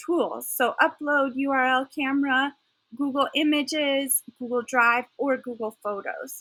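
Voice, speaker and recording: A woman talks at a fairly slow pace in a high pitch. Her pitch varies in an ordinary way. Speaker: teacher trainer. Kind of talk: tutorial. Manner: halting. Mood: enthusiastic. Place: home room.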